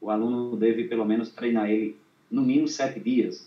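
Speaking with a northeastern Brazilian accent, a man has a medium pitch and a dark, mellow tone. He talks at a moderate pace with ordinary pitch variation. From Brazil, Northeast (Rio Grande do Norte). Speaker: accordion student and viola poet-singer. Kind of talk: interview. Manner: halting.

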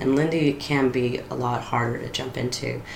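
A woman's very deep, low voice with an American accent, amid audible room echo and noticeable background noise. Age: 40s. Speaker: storyteller. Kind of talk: casual chat.

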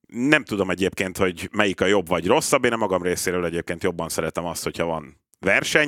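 A man with a very deep, low pitch and a bright, sharp tone talks at a very fast pace with lively intonation and hardly any pauses. The recording is very clean, with a silent background and a dry, close sound with no echo. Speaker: football pundit. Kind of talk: casual chat. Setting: studio.

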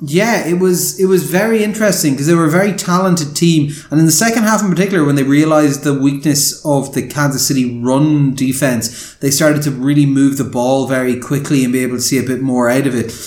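A man with an Irish accent speaks at a very fast pace, with hardly any pauses, in a fairly high voice with ordinary pitch variation. Background noise is noticeable. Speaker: sports podcast host. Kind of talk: casual chat. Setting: remote call.

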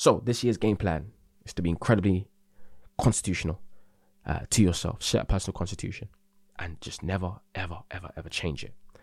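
A man with a very deep, low pitch talks at a very fast pace, broken by long, frequent pauses, with ordinary pitch variation and a somewhat breathy quality. The recording is very clean, with a silent background. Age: 20s. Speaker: podcast host. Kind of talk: solo casual monologue. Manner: hesitant, many fillers.

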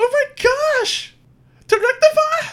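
A put-on character voice pitched extremely high. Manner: bellowing.

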